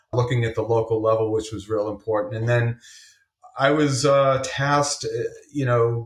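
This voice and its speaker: In a slight Massachusetts accent, the speaker talks at a moderate pace with monotone, flat intonation. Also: man. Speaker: government water official. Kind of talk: interview.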